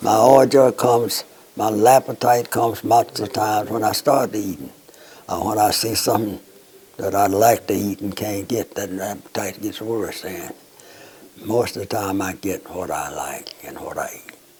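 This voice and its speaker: With a Southern US accent, a man speaks at a moderate pace and fairly low pitch, his intonation fairly even but his loudness swinging widely, over noticeable background noise. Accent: Southern American. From North Alabama. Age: 80s+. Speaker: World War II veteran. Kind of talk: interview answer.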